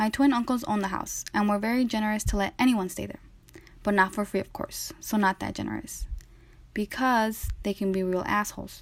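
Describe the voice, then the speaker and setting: A woman with a medium-pitched, somewhat breathy voice talks at a fairly quick pace with fairly even intonation. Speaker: student podcaster. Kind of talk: school podcast narration and interview.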